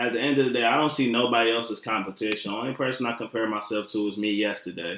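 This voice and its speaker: Very fast speech with a Detroit accent, fairly even intonation and hardly any pauses. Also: man, medium pitch for a man. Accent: Detroit urban American English. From Detroit, Michigan. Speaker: chef and guest co-host. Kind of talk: casual chat. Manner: laid-back, slangy.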